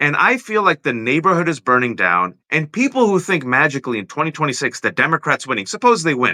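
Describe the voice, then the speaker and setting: Very fast with hardly any pauses, this bright, sharp voice carries vocal fry and very wide pitch swings, sounding dry and close with no echo over a quiet background. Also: man, fairly high pitch for a man. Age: middle-aged. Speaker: political talk show host. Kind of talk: casual political conversation. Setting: live video stream.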